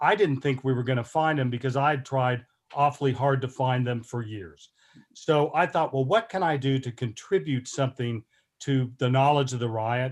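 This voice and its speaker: A man with an American accent has an ordinary speaking voice, medium in pitch, with ordinary pitch variation. He speaks at a moderate pace on a very clean recording with a silent background. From Oklahoma (Tulsa). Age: 60s. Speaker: historian. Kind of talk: lecture.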